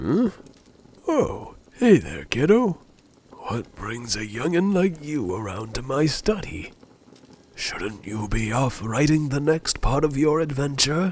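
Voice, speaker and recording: Using a put-on character voice, a man with a fairly high pitch talks at a fairly slow pace with very wide pitch swings. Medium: solo performance. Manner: folksy, warm, chuckling.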